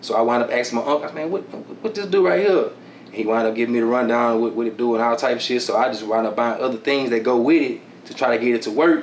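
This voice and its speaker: Over noticeable background noise, a man talks very fast in a strong Houston accent. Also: medium pitch for a man, ordinary pitch variation. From Houston, Texas (south side). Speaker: music producer and engineer. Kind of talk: casual interview. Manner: relaxed, heavy filler, repeats words.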